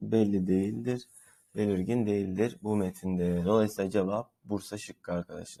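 At a moderate pace, a man speaks in a fairly low pitch with fairly even intonation and a dark, mellow tone. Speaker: Turkish language teacher. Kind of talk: tutorial.

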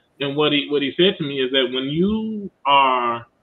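This man has an American accent and ordinary pitch variation. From northeast side of Detroit, Michigan. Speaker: engineer and church elder; panelist. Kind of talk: panel discussion. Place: home room. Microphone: video call.

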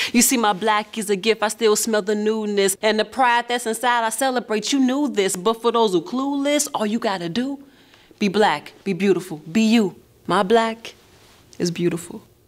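A woman talks at a moderate pace in a normal speaking voice. Her pitch is fairly high with ordinary variation. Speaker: spoken word poet and actor. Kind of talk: spoken word poetry in a TV commercial.

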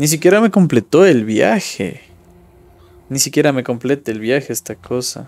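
The intonation is lively. A man delivers it at a moderate pace. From Ecuador. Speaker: gaming streamer. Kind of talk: gameplay commentary; casual gameplay commentary. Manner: casual, thinking aloud. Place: home room.

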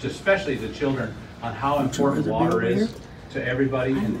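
Very fast speech from a man, with noticeable noise behind it. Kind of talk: public meeting remarks. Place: meeting room. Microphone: pa.

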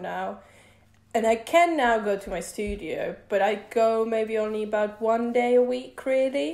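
Audible room echo fills the recording. Through it, a woman talks. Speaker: guest. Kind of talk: interview answer. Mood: relaxed, cheerful. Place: home room. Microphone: video call.

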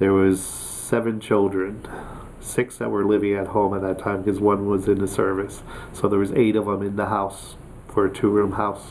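Over light background noise, a man with a fairly low pitch talks at a moderate pace in a monotone, flat intonation. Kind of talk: interview answer. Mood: friendly, earnest. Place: office.

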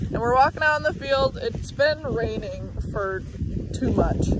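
Fairly slow speech in a dry sound with no echo, over noticeable background noise. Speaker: harvest crew member vlogger. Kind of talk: casual vlog chat. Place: open country. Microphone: phone near.

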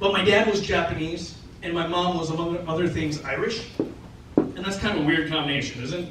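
A man speaks at a fairly quick pace with ordinary pitch variation, his voice carrying audible room echo over loud background noise. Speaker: stand-up comedian. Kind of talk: stand-up comedy routine. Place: stage.

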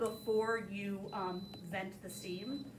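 Noticeable background noise sits behind the voice. The speaker is a woman. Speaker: cooking instructor. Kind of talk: tutorial. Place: kitchen. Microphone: camera far.

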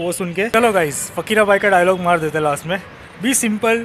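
Over light background noise, a man with a high pitch and ordinary pitch variation talks at a moderate pace. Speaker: vlogger. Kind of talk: casual vlog chat. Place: street. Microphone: phone near.

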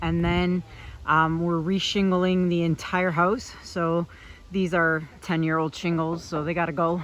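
A fairly slow pace, dry sound with no echo, and light background noise. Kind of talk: casual vlog chat. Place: street. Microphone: phone near.

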